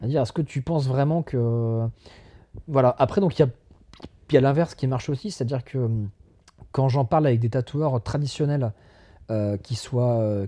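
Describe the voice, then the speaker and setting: A man speaks at a fairly slow pace in a medium pitch, with ordinary pitch variation and a dark, mellow tone. The recording is very clean, with a silent background. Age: 30s. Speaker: tattoo artist. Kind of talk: casual conversation.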